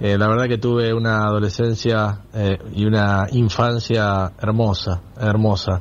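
A man's fairly low, monotone voice at a fairly slow pace, flat in intonation and very even in loudness. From Olavarría, Buenos Aires province. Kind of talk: recorded message.

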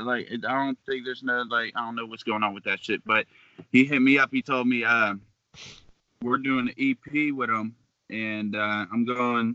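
Fairly level intonation and a medium speed in a plain, everyday voice. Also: man. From western Pennsylvania, Beaver Falls / Pittsburgh. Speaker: hip-hop artist. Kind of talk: casual chat.

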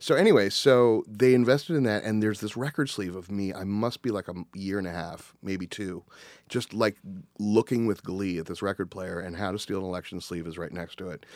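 A plain, everyday voice speaks at a fairly quick pace with ordinary pitch variation and big swings in loudness, recorded dry and close with no echo on a very clean track with a silent background. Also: man, fairly low pitch for a man. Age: 40s. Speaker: music arranger and conductor. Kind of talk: casual chat.

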